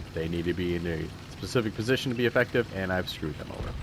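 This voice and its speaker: A man with an American accent and a very deep, low voice, at a fairly quick pace with ordinary pitch variation, over noticeable background noise. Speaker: gaming YouTuber. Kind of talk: live gameplay commentary. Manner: halting, stammering.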